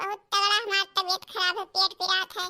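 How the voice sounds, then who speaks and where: A squeaky, cartoonish female-sounding character voice speaks at an extremely high pitch in a flat monotone. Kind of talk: comic cartoon voice acting. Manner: chatty, complaining.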